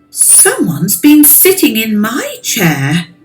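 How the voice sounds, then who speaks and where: A woman growls in a put-on character voice, fairly high in pitch with very wide pitch swings. She goes at a fairly slow pace over faint background music. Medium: read story.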